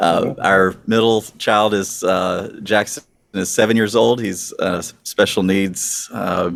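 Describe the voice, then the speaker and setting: A man's fairly low voice at a very slow pace. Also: fairly even intonation. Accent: Southern US. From US South, northwest mountains of North Carolina. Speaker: pastor. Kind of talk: casual interview.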